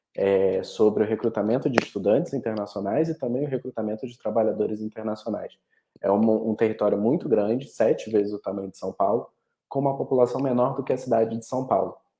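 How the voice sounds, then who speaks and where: A man talks very fast in a Rio de Janeiro accent. His tone is dark and mellow, with fairly even intonation. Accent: carioca. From Rio de Janeiro, Brazil. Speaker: study abroad representative. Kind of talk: webinar presentation. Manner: halting, many repetitions and fillers.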